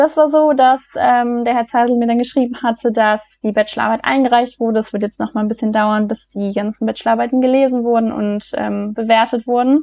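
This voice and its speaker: Hardly any pauses break up this woman's fairly quick speech. Her fairly high pitch holds fairly even intonation. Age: 20s. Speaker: business graduate. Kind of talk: interview. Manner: hesitant, many fillers.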